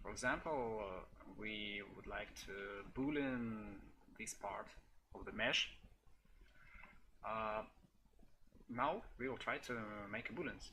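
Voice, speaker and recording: A man speaks very slowly, with long, frequent pauses and a non-native accent. His tone is bright and sharp, and his pitch is medium. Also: ordinary pitch variation. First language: not English. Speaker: software developer. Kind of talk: tutorial. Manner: halting, many fillers.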